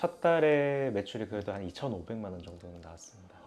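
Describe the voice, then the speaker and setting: Speaking fairly quickly, a man uses an unremarkable speaking voice whose pitch varies in an ordinary way. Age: 30s. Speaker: hearing aid center owner. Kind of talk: documentary interview.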